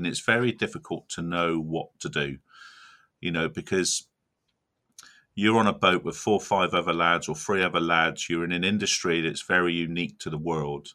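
A man with a West Country accent, a very deep, low pitch and a bright, sharp tone, at a moderate pace with fairly even intonation, in a very clean recording with a silent background. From South Devon, England. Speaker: crab fisherman and shellfish chef. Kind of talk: casual interview.

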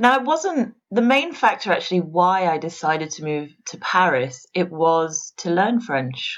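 Delivered at a fairly slow pace with hardly any pauses, the speech carries an English accent and very wide pitch swings. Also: woman, fairly low pitch for a woman. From England, Worcestershire. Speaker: pastry chef. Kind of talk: interview.

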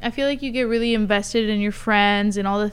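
An unremarkable speaking voice belongs to a woman with a medium pitch. She talks at a fairly quick pace with ordinary pitch variation. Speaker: podcast host. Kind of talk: casual interview chat.

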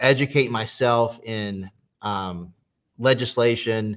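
A man with an American accent, a plain, everyday voice, medium pitch and fairly even intonation. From US South, South Carolina. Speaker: preacher and former adult film actor. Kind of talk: testimony.

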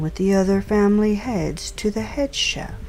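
A woman's menacing tone over noticeable background noise. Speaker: crime boss character in audio drama. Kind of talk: noir detective audio drama, scripted villain dialogue. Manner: formal, imperious, coolly menacing; measured, polished, old-fashioned diction.

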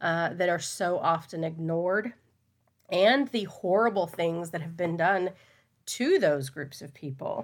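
A woman with an American accent and a normal speaking voice, fairly low in pitch with ordinary pitch variation, at a fairly slow pace with big swings in loudness, in a very clean recording with a silent background. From Texas. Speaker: teacher and political candidate. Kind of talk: interview.

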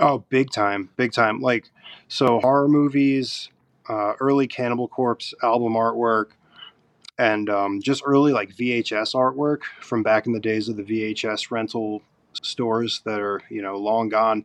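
A man in an ordinary speaking voice at medium pitch talks at a fairly slow pace with fairly even intonation, the sound dry and close with no echo. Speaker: tattoo artist. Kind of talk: casual interview chat.

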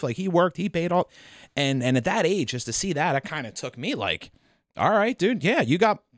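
A man with a Philadelphia accent speaks in a high voice with very wide pitch swings. The recording is very clean and dry, close with no echo and a silent background. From Delaware County, Pennsylvania (Philadelphia area). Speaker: DJ and event business co-owner. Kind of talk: casual chat.

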